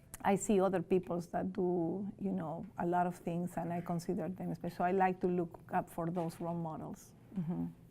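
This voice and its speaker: Speaking with a Spanish accent, a woman uses a fairly low pitch, a dark, mellow tone with vocal fry and monotone, flat intonation at a moderate pace with hardly any pauses. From Peru. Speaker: teacher. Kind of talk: interview. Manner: loud.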